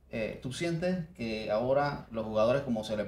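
Audible room echo colors the sound. A man speaks with ordinary pitch variation. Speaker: sports podcast host. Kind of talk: interview. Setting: studio. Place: studio.

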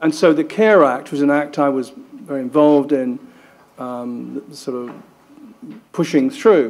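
The pace is fairly slow, with ordinary pitch variation. The tone comes across as slightly mellow. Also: man, medium pitch for a man.

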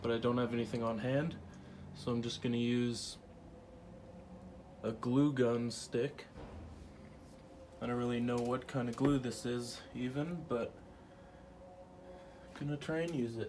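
A man at a fairly slow pace with fairly even intonation and long, frequent pauses, light background noise behind him. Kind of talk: tutorial. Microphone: camera far.

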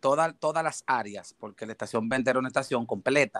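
The sound is dry and close, with no echo. A man talks at medium pitch and a moderate pace with fairly even intonation. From Dominican Republic (Haina, near Santo Domingo). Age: 40s. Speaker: paramedic / rescue worker. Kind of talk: interview. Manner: halting.

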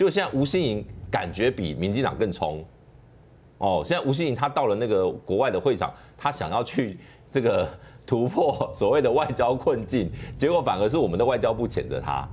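A man talks at a moderate pace with very wide pitch swings. Vocal fry runs through his voice. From Taiwan. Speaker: political commentator. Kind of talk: political commentary. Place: studio.

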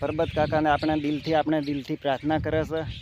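The man's voice sits at a fairly high pitch. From North Gujarat, India. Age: 40s. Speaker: folk singer. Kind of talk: vlog appeal to followers.

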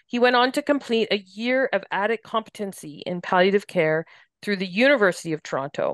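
With a Canadian accent and an unremarkable speaking voice, a woman talks at a fairly quick pace and medium pitch with lively intonation, in a dry, close sound with no echo over a quiet background. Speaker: podcast host, hospice staff. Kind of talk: podcast interview. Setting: studio.

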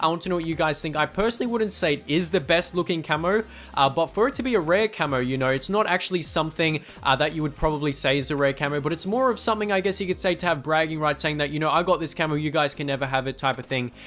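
A man with an Australian accent talks at a very fast pace with hardly any pauses, his pitch fairly high and varying in an ordinary way. Noticeable background noise sits behind him. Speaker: gaming YouTuber. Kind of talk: gameplay commentary. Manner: casual, filler-heavy.

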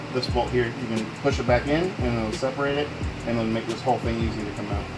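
A man talks with music in the background. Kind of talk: tutorial. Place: garage. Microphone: phone near.

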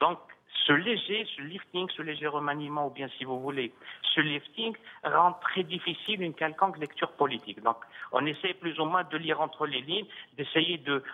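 At a moderate pace, a man with a fairly high pitch and ordinary pitch variation has an ordinary speaking voice. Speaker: retired international civil servant. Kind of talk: televised political debate. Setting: remote link from Algiers. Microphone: audio return/echo on his line.

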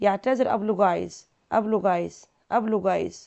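A woman with an Egyptian accent talks at a medium pitch with vocal fry. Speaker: English teacher. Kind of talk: lesson. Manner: slow, repetitive drilling.

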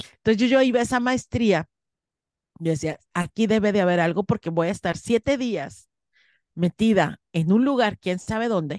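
In a dry recording with no echo and a quiet background, a woman speaks in an animated tone with lively intonation. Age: 50s. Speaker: spiritual teacher. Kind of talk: interview. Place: home room. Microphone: studio mic.

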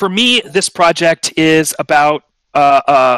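Recorded with a dry, close sound and no echo, a man speaks at a very slow pace. His fairly high voice has a fairly bright, clear, smooth tone and ordinary pitch variation.

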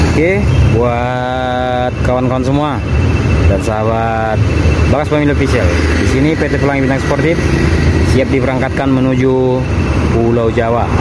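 Long pauses come often, set against loud background noise. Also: moderate pace. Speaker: bus spotter vlogger. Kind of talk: casual vlog commentary. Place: street. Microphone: phone near.

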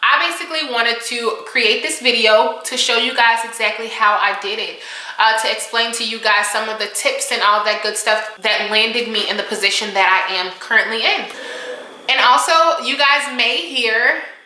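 Light background noise and audible room echo surround a woman's voice. She talks at a moderate pace with ordinary pitch variation. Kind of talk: casual vlog chat. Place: home room. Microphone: camera far.

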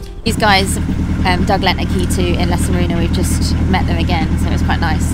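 A woman's fairly quick speech, dry with no echo, over music in the background. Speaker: canal boat vlogger. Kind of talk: casual vlog chat. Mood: relaxed and cheerful. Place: boat. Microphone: phone near.

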